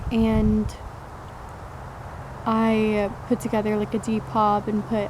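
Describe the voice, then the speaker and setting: Fairly high-pitched woman with monotone, flat intonation, plus audible room echo and noticeable background noise. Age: 20s. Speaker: vlogger. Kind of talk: personal vlog monologue.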